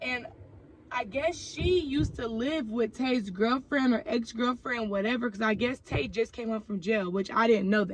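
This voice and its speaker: Using an ordinary speaking voice, a woman talks with an American accent. Her pitch is fairly high and her pace moderate. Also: ordinary pitch variation. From Oakland, California. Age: 20s. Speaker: YouTuber. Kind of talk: storytime vlog. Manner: casual, conversational with fillers.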